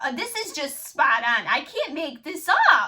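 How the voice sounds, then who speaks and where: A woman speaks in a raised, projected voice at a high pitch. Her tone is animated, bright and sharp. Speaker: tarot reader. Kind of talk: casual tarot reading to camera.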